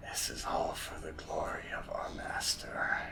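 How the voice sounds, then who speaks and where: A man's whispered, put-on character voice at a fairly slow pace, with loud background noise. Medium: actual play. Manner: fanatically loyal.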